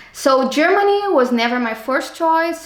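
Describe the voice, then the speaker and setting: A woman speaks at a fairly slow pace with ordinary pitch variation. Audible room echo and noticeable background noise surround her. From Brazil, Rio de Janeiro suburbs. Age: 30s. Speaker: civil engineer, master's student. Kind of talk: interview. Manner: halting.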